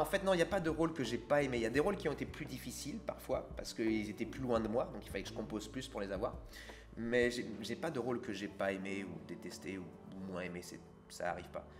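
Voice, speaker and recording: A man's medium-pitched voice at a very fast pace, with very wide pitch swings and big swings in loudness, music in the background. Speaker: voice actor. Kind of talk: interview.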